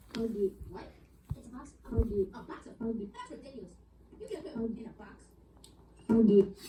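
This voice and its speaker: A put-on character voice, female-sounding and fairly high-pitched, at a fairly quick pace broken by long, frequent pauses. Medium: machinima.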